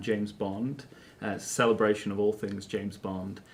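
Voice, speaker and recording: This is a man with a British accent. His pitch sits fairly low. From England. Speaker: actor. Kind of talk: interview. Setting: studio. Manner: halting, many fillers.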